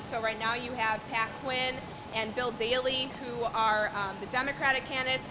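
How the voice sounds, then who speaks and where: A woman's fairly high voice with fairly even intonation, amid noticeable background noise. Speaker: lobbyist. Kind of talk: speech to a meeting. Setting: event with audience, no PA system.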